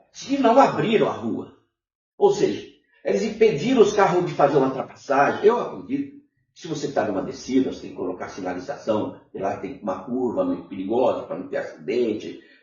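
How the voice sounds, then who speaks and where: The man's voice swings widely in loudness. Room echo is audible around him. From northern Paraná, Brazil. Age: 70s. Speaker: former city councillor and union activist. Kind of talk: interview. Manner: animated.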